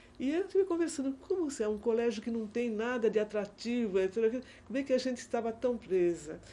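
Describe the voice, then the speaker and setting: A woman speaks at a moderate pace in a fairly high pitch with a dark, mellow tone. Her intonation is lively. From Brazil, Santos (São Paulo). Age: 70s. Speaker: retired teacher, historian of education. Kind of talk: oral history interview. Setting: recorded interview in an office. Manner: halting, many self-corrections.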